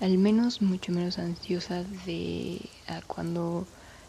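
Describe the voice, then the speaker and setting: A woman speaks at a very slow pace. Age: 20s. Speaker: podcast host. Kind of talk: personal monologue. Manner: halting.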